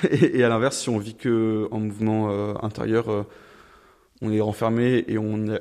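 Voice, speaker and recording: The man talks at a fairly low pitch with monotone, flat intonation. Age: 20s. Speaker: engineering student. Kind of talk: interview. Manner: hesitant, many fillers.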